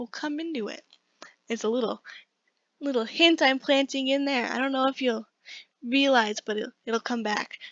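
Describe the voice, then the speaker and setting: A woman's high-pitched voice at a fairly quick pace, with ordinary pitch variation. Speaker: biology student. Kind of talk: class presentation. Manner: fast; casual.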